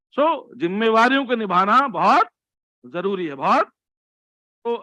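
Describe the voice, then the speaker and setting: A man speaks in a raised, projected voice that is high-pitched, bright and sharp, at a fairly slow pace. The sound is dry and close, with no echo. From Delhi, India. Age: 60s. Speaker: motivational speaker. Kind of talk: motivational talk.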